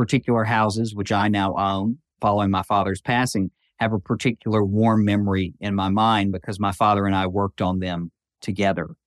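With a Southern US accent, a man talks at a moderate pace in a fairly low voice and fairly even intonation. The sound is dry and close with no echo, on a very clean recording with a silent background. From western Tennessee. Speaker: federal judge. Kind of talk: interview.

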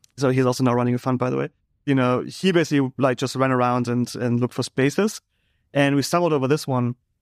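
On a very clean recording with a silent background, a man with a German accent speaks at a medium pitch with ordinary pitch variation. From Germany. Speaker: fintech company co-founder and CEO. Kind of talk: interview conversation. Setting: in person at company office.

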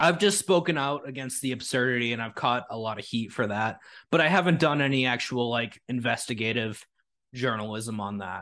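Over a very clean recording with a silent background, a man with an American accent uses an ordinary speaking voice at a medium pitch, a moderate pace and ordinary pitch variation. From United States. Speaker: independent journalist. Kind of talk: casual chat. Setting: livestream interview.

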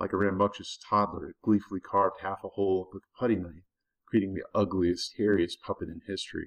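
This is plain reading aloud, set against a quiet background.

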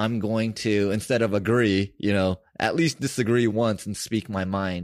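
A plain, everyday voice from a man with an American accent, medium pitch and moderate pace, in a very clean recording with a silent background and dry, close sound with no echo. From US West Coast (San Francisco). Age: 40s. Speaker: podcast host. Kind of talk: casual conversation.

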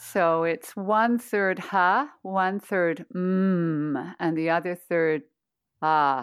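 Speaking at a very slow pace, a woman has a warm tone, a fairly low pitch and ordinary pitch variation, with very even loudness. The recording is very clean, with a silent background. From Toronto, Canada. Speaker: voice coach and meditation teacher. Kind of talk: guided voice practice and interview. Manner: warm, laughs often.

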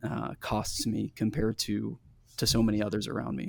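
A man speaks in an ordinary speaking voice with an American accent. His pitch is medium and his intonation fairly even. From US Midwest, small town in northeast Kansas. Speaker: pastor and writer, former talk radio host. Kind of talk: interview, personal testimony. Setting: video call.

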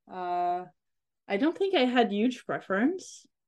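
A woman speaks with a French accent. The background is quiet. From France (Corsica, moved around France). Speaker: economist, historian of economic thought. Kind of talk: interview. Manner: halting. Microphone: bad connection.

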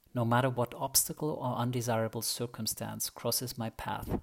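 This man has a normal speaking voice at medium pitch. He talks at a moderate pace with fairly even intonation. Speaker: podcast host. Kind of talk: guided meditation.

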